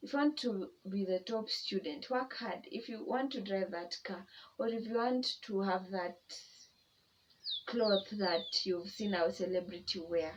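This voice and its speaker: Lively intonation from a woman at a fairly slow pace, against noticeable background noise. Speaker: YouTuber. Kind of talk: personal testimony vlog. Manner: casual, conversational.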